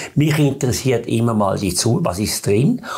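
At a moderate pace, a man talks in a medium pitch. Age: 70s. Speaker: biochemist; interview guest. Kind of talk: interview explanation. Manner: halting, repetitive, filler words. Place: studio. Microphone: lapel.

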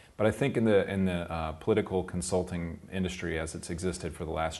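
Speaking at a fairly quick pace, a man uses a very deep, low pitch. The voice stays low throughout. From US South, South Carolina. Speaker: political campaign consultant. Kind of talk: interview. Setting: recorded interview in Göttingen. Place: office.

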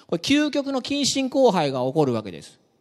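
The man keeps a moderate pace, and the background stays quiet. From Ehime, Japan. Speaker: university researcher giving a talk; science cafe lecturer. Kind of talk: public science lecture; lecture. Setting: lecture room with audience. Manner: friendly, with many fillers. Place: hall. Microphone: handheld.

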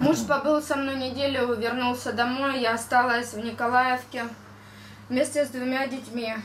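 A woman speaks at a high pitch and a fairly slow pace. Her intonation is monotone and flat, with light background noise. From Donbas, eastern Ukraine; Ukraine. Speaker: war victim giving testimony. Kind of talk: testimony talk through interpreter. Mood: grave, emotional retelling. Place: meeting room.

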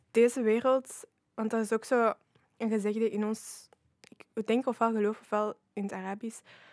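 A woman with a Flemish accent speaks in a monotone, flat intonation with long, frequent pauses. The sound is dry with no echo, and the background is quiet. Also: fairly high pitch for a woman, moderate pace. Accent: Flemish Dutch. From Flanders, Belgium. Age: 20s. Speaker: youth ambassador; podcast guest. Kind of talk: casual chat. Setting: studio. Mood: calm, reflective. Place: studio. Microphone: studio mic.

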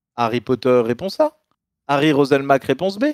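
A man speaks with very wide pitch swings. The sound is dry with no echo, and the background is quiet. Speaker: game show quiz master on stream; streamer reading quiz questions. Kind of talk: game show parody. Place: home room. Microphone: studio mic.

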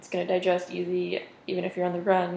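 Audible room echo around a woman's voice at a moderate pace. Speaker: home vlogger. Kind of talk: casual vlog chat. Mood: relaxed, friendly. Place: kitchen. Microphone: camera far.

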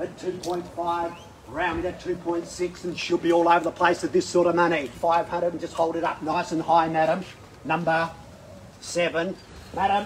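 Against light background noise, a man with a high pitch speaks at a moderate pace in a flat, monotone way. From Australia. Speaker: auctioneer. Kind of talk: property auction call. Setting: live auction. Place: street. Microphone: camera far.

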